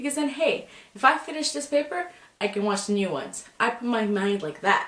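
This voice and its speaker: A loud woman's voice with lively intonation at a fairly quick pace. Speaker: student. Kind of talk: casual talk to camera.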